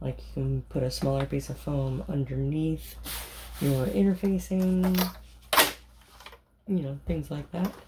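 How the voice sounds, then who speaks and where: The speaker is soft-spoken, moving at a fairly slow pace with long, frequent pauses. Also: woman. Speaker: sewing content creator. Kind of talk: tutorial.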